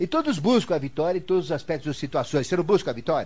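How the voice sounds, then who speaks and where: A man talks with lively intonation and a somewhat breathy sound. His tone is dark and mellow. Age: 70s. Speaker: esoteric teacher. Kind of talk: lecture. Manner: conversational, rhetorical questions.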